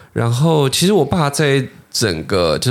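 This is a man's voice. It carries vocal fry. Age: 20s. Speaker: podcast host, watch collector. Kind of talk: casual interview chat.

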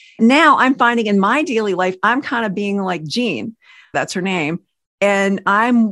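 At a moderate pace, a woman talks in a normal speaking voice at medium pitch. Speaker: podcast co-host, radio broadcaster. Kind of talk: faith-based podcast conversation.

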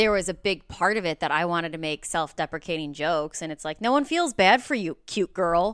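With an American accent, a woman uses an ordinary speaking voice, fairly low-pitched, at a fairly quick pace with hardly any pauses and lively intonation. The sound is dry and close with no echo, on a very clean recording with a silent background. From Chicago northwest suburbs (Mount Prospect). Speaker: stand-up comedian. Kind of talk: casual interview chat.

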